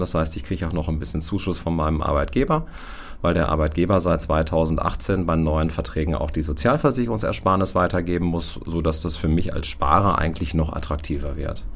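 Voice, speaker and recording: Audible room echo surrounds a man speaking at a fairly quick pace. His pitch is very deep and low. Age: 40s. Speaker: insurance advisor. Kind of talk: expert interview.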